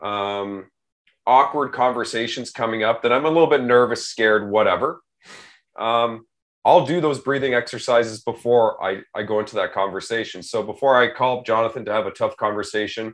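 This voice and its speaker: Pitch variation is ordinary as a man talks at a fairly quick pace. Behind him the background is quiet. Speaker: corporate video series host. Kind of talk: casual interview conversation. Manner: fast; high energy.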